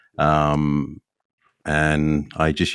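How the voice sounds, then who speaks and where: With an Australian accent, a man speaks in a very deep, low voice. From Australia, Adelaide. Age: 50s. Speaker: golf club builder. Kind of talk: podcast interview.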